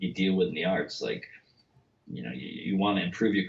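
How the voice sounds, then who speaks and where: A mumbling man with a fairly low voice. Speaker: novelist. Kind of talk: casual chat. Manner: fast, excitable; mumbling, slurred.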